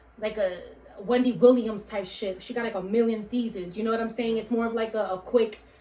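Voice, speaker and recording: A woman in a monotone, flat intonation at a fairly quick pace, with noticeable background noise. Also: fairly high pitch for a woman. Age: 30s. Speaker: podcast host. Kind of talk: casual chat.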